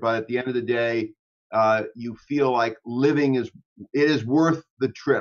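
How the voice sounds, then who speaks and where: A man's delivery is moderate in pace and fairly even in intonation, set against a quiet background. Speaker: interview guest. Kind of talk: interview answer. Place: home room. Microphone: video call.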